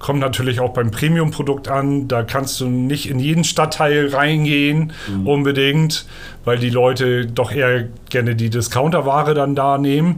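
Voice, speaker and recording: Audible room echo surrounds a man speaking at a fairly slow pace with fairly high pitch and fairly even intonation. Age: 30s. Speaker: sales representative. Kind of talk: interview. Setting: in person, over coffee.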